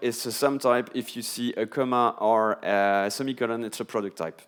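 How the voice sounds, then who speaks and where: Ordinary pitch variation in a man's medium-pitched voice. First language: not English. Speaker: software developer, conference speaker. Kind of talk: conference talk. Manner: hesitant with fillers.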